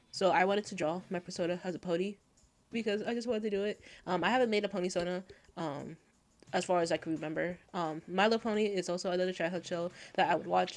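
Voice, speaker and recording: A soft-spoken woman at a very fast pace, medium in pitch, with fairly even intonation. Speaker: art youtuber. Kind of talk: casual voiceover commentary. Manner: hesitant.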